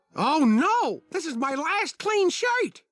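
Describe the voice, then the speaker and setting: A cartoonish character voice, extremely high in pitch with very wide pitch swings, moves at a fairly slow pace. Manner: fussy, earnest.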